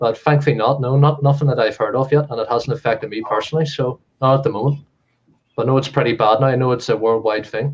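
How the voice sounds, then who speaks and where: This voice has a Belfast accent and is somewhat breathy. It moves at a very fast pace with fairly even intonation. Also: man, medium pitch for a man. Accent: Northern Irish (Belfast area). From Northern Ireland, Comber near Belfast. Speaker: reseller. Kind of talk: interview.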